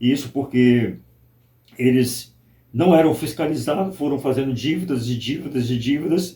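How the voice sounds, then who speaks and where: This man's voice has a dark, mellow tone and is somewhat breathy, with fairly high pitch. He talks at a moderate pace with ordinary pitch variation. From Brazil, Espírito Santo. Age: 60s. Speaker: pastor. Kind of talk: interview testimony.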